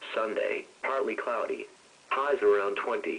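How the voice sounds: Speaking at a fairly slow pace, a man with a fairly low pitch and a fairly bright tone shows ordinary pitch variation.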